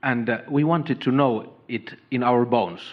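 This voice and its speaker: He speaks with a strong non-native accent at a fairly slow pace. His pitch is medium for a man, with ordinary variation. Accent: thick foreign. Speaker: doctor. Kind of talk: audience Q&A with speaker. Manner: halting, many fillers.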